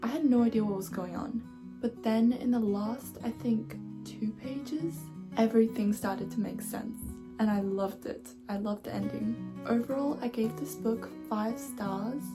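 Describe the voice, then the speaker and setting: Moderate pace, with music in the background. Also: woman. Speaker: booktuber. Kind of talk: casual book review talk to camera.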